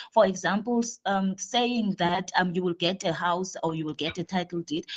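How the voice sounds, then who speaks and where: The sound is dry and close, with no echo. A woman speaks in a somewhat breathy, medium-pitched voice with ordinary pitch variation. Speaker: municipal councillor. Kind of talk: council debate contribution. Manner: very fast.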